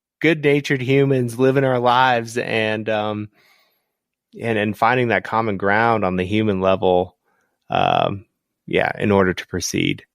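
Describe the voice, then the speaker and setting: On a very clean recording with a silent background, a man with an American accent talks at a fairly slow pace in a normal speaking voice with ordinary pitch variation. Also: medium pitch for a man. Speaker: photographer and writer. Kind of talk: casual chat.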